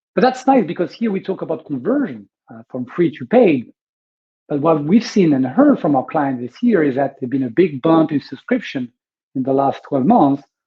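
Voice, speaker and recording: A man with a strong French accent speaks at a moderate pace in a somewhat breathy voice. His pitch swings very widely and his loudness rises and falls sharply. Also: fairly high pitch for a man. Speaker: webinar host, media business consultant. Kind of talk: webinar presentation. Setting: online webinar. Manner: hesitant, many fillers.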